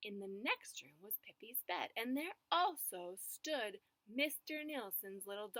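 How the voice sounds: Intonation stays lively throughout a natural reading voice.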